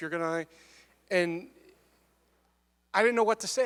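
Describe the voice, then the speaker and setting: Loud and at a very fast pace, a man speaks with an American accent and ordinary pitch variation. The sound is dry and close, with no echo. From Michigan. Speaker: student giving testimony. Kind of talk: testimony.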